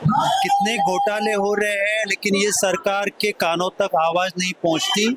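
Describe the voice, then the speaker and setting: A man with a high-pitched voice keeps his intonation fairly even and his loudness very even, recorded with a dry, close sound with no echo but noticeable background noise. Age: 60s. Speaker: schoolteacher and protester. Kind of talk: street interview. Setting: outdoors at a protest. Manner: impassioned.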